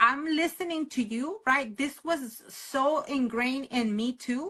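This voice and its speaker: A woman's raised, projected voice, high-pitched, bright and sharp, with a Spanish accent over a quiet background. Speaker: podcast host and educator. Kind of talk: casual interview conversation.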